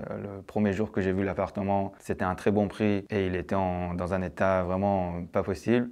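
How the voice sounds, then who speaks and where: A man speaks with a very deep, low pitch. His intonation is fairly even and his pace is moderate. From Iran, moved to France at 13. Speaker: TV producer-director giving investor testimonial. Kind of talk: testimony. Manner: hesitant, many fillers.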